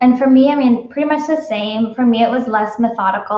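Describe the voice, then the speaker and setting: This is a woman with a non-native accent. She talks at a fairly quick pace. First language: not English. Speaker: wedding photographer. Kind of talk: live Q&A chat. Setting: live video stream.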